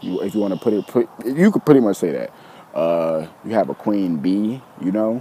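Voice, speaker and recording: A man with lively intonation, light background noise, and a dry sound with no echo. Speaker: YouTuber. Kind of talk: casual monologue. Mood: earnest, preachy. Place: open country. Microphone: phone near.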